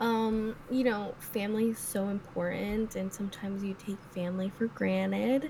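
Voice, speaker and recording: A woman of medium pitch talks at a moderate pace with hardly any pauses, her fairly even intonation carrying a dark, mellow, somewhat breathy tone. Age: 20s. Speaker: podcast co-host. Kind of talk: casual chat.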